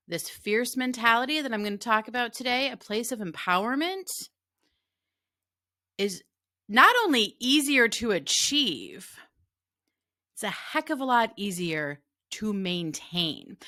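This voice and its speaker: Her fairly high voice has a bright, sharp tone and very wide pitch swings as the woman talks at a fairly slow pace with long, frequent pauses, on a very clean recording with a silent background. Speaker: emotional eating coach. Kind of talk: podcast monologue. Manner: conversational, earnest.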